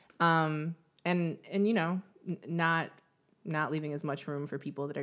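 A woman with a fairly low pitch, ordinary pitch variation and a normal speaking voice, against a quiet background. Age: 30s. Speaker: podcast co-host. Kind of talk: casual chat.

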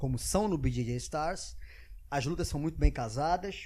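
A man talks with very wide pitch swings. Behind him the background stays quiet. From Brazil, Rio de Janeiro (Arpoador). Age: 40s. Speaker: former TV sports presenter. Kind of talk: casual interview chat.

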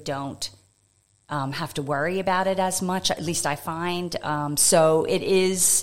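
A woman with an American accent, fairly low pitch and fairly even intonation, very clean recording with a silent background. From United States. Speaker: economist. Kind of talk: interview. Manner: calm.

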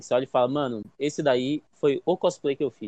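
A man talks at a fairly quick pace with a fairly high pitch. Music plays behind him, and the sound is dry and close with no echo. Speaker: podcast co-host, psychoanalyst. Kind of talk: casual chat.

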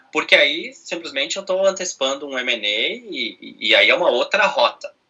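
A man at a fairly slow pace. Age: 30s. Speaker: business director and corporate venture capital head. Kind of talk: interview.

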